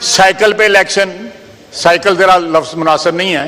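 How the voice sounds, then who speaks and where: A man with a high voice speaks with fairly even intonation over noticeable background noise. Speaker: defense minister, member of national assembly. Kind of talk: parliamentary floor speech, heated debate. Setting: national assembly hall with interruptions from other members. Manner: aggressive, sarcastic, forceful.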